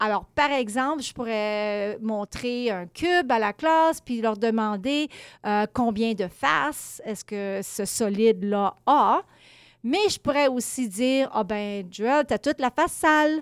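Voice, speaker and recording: In a very clean recording with a silent background and a dry, close sound with no echo, a woman speaks at a very slow pace with a fairly high pitch and lively intonation. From Quebec, small village. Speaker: education lecturer. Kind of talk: interview.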